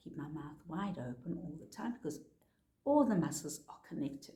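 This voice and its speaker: A woman with a very deep, low voice and a dark, mellow tone speaks somewhat breathily, her intonation lively. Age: 60s. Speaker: face exercise instructor. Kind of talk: tutorial. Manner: animated.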